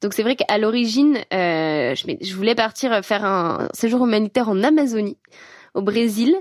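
Lively in her intonation, a woman with a fairly high pitch talks at a fairly slow pace on a very clean recording with a silent background. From France, Savoie mountains. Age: 20s. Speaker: climate activist. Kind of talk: personal testimony. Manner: hesitant, many fillers.

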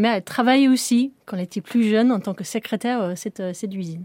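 Speaking at a fairly quick pace, a woman with a British accent uses ordinary pitch variation in a dry, close recording with no echo. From northern England, Sheffield. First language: English (speaking French). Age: young. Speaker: rocket propulsion engineer. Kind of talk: interview. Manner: halting.

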